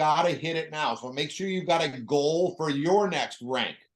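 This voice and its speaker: In an unremarkable speaking voice, a man with a fairly high pitch talks at a fairly slow pace with ordinary pitch variation. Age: 50s. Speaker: network marketing leader. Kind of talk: motivational business talk.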